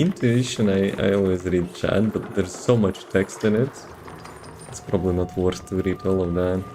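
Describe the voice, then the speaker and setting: A man with a fairly low pitch speaks at a fairly slow pace. His pitch varies in an ordinary way over noticeable background noise. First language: not English. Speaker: video game streamer. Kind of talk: live gameplay stream commentary. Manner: casual, halting with repeated words.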